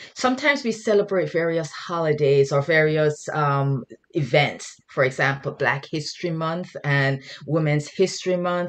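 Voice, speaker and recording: Very deep, low-pitched woman with a Jamaican accent at a moderate pace. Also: ordinary pitch variation. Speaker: guest speaker, mental health worker. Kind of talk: sermon. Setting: video call. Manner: halting.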